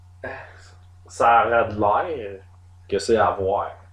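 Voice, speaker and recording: A man with a Quebec accent sounds somewhat breathy. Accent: Québécois French. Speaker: podcast host. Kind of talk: casual chat.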